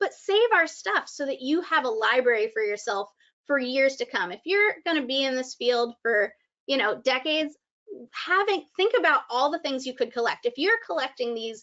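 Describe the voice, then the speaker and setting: A woman's voice pitched high, swinging very widely in pitch. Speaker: senior activity content presenter. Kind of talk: live webinar presentation. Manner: fast; animated.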